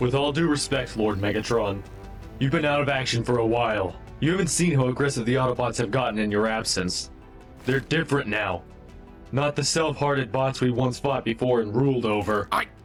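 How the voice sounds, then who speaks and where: A man speaks in a put-on character voice at a medium pitch and a fairly quick pace. Clear music plays in the background. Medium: audio drama.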